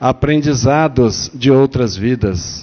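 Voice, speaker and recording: Using a normal speaking voice, a man talks at a fairly slow pace with lively intonation and medium pitch. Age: 60s. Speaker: spiritist lecturer. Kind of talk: religious lecture. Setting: spiritist center with audience. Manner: conversational, asks the audience questions.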